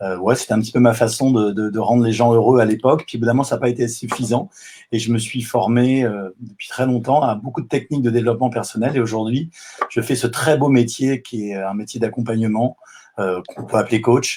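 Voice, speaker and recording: This is an ordinary speaking voice at a fairly quick pace. The intonation stays fairly even. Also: man, medium pitch for a man. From southwest France. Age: 50s. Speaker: life coach. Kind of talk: live video interview. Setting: online live stream.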